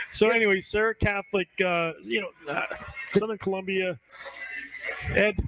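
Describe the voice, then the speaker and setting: Loud and in an American accent, a man with a high pitch talks at a moderate pace with ordinary pitch variation and long, frequent pauses, the sound dry and close with no echo amid noticeable background noise. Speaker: high school football show host. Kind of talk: casual sports panel chat.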